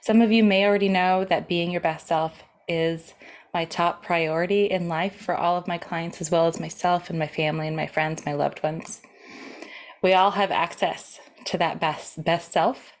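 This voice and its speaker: A woman's plain, everyday voice, fairly low in pitch, at a moderate pace with fairly even intonation. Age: 30s. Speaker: parenting coach for teens. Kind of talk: course introduction talk.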